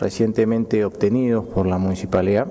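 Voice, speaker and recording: A man talks with a Peruvian accent. His pace is moderate and his pitch varies in an ordinary way. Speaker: mayor chairing council. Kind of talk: formal council session. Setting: council chamber. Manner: formal. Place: hall. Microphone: podium.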